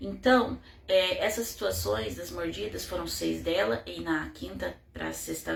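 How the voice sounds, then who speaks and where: A woman speaks at a very slow pace. Room echo can be heard around her voice. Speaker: mother telling her child's case. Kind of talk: personal testimony.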